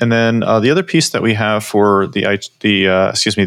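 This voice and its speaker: The recording of this man's fairly low voice is very clean, with a silent background and a dry, close sound with no echo, as he speaks with ordinary pitch variation. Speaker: podcast host. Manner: hesitant, filler-heavy.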